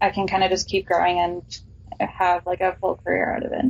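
This woman has a plain, everyday voice at a medium pitch. She talks at a fairly quick pace. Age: 20s. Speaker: illustrator and comic book artist. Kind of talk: casual interview.

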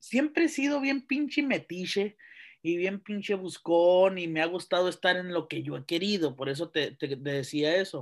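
Speaking at a fairly slow pace with a northern Mexican accent, a man uses lively intonation and a high pitch over a quiet background. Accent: northern Mexican (Sonoran) Spanish. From Mexico, Sonora (Santa Ana). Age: 20s. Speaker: university lecturer and lawyer. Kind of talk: casual interview chat.

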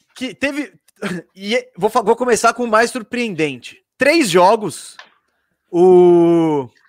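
The speech comes at a very slow pace with long, frequent pauses and lively intonation, recorded dry and close with no echo. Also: man, high pitch for a man. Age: 30s. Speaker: basketball podcast host. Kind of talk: casual sports talk.

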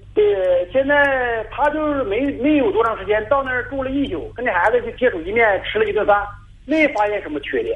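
Very wide pitch swings mark this voice as it moves at a fairly quick pace. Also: man, extremely high pitch for a man. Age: 40s. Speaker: caller. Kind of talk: phone-in advice call. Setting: phone call. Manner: halting.

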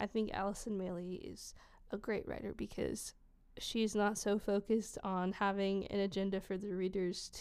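The recording is very clean with a silent background. A woman speaks at a medium pitch. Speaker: podcast host. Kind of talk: poem reading aloud, slow and reflective, in a soft intimate tone. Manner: casual, halting, with many filler words and restarts.

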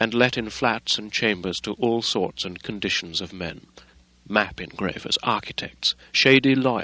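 Reading aloud, plain

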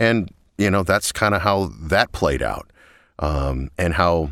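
A man with a very deep, low pitch and vocal fry speaks with ordinary pitch variation. The recording is very clean, with a silent background. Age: 40s. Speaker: promo voice actor. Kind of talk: recorded interview.

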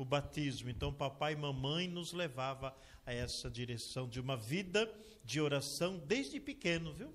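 A man talks in a plain, everyday voice at a moderate pace. His pitch is fairly high, with ordinary pitch variation. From Brazil, São Paulo state. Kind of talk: testimony.

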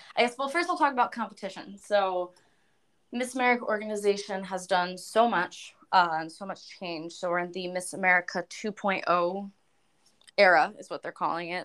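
Her intonation lively, a woman talks at a moderate pace. She has a normal speaking voice at medium pitch. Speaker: opera and pop singer, beauty pageant titleholder. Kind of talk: casual chat.

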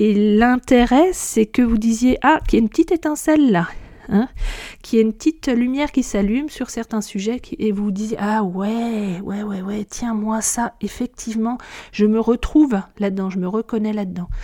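A woman speaks at a moderate pace with ordinary pitch variation. Her fairly high pitch has a dark, mellow tone. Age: 40s. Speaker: podcast host on hypersensitivity. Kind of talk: solo podcast monologue. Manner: hesitant with frequent fillers.

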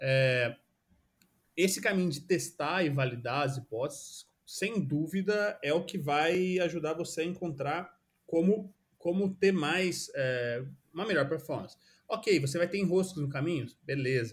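High-pitched male speech, fairly slow, with ordinary pitch variation. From Brazil, São Paulo state interior (São José dos Campos). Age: 30s. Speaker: product designer. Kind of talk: casual interview chat.

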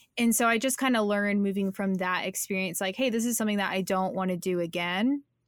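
At a very fast pace with hardly any pauses, a woman speaks at a medium pitch with very even loudness and ordinary pitch variation. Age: 20s. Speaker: content creator and podcaster. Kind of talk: casual interview chat.

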